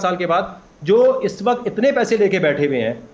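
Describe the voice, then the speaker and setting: The speaker is a man. His pitch is high. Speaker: crypto expert. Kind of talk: TV talk show interview. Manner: animated, emphatic.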